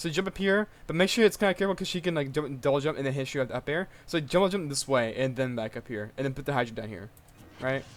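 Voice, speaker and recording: A man with a fairly high pitch rushes along at a very fast pace, his intonation lively. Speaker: video game coach. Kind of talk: tutorial. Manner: stutters; casual, hesitant.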